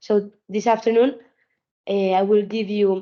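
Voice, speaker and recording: Her pitch is medium and her intonation fairly even. The woman talks at a fairly slow pace. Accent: Spanish. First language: Spanish. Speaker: sustainability consultant and trainer. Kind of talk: webinar lecture. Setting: video call webinar. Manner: halting, many repetitions.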